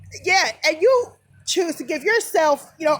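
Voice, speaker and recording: Noticeable background noise sits under a woman speaking in an animated tone. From New Jersey, US. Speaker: vlogger. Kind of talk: rant. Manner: loud.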